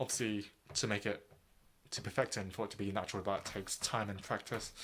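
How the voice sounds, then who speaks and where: Very fast and monotone, a man speaks with flat intonation in a fairly low voice. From England, Southeast London. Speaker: vlogger. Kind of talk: casual vlog chat. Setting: in his room. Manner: halting, many fillers and restarts; less clear enunciation the longer he speaks.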